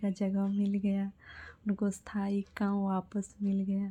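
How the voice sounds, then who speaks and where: Soft-spoken and somewhat breathy, a woman talks at a medium pitch in a dark, mellow tone. The recording is very clean, with a silent background. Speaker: devotional vlogger. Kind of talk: personal testimony.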